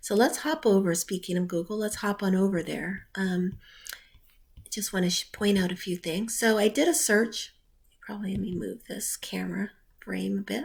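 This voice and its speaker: Pitch rises and falls in an ordinary way. There is a somewhat breathy quality to the voice. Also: woman, medium pitch for a woman, big swings in loudness. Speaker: digital marketing consultant. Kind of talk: tutorial. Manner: fast.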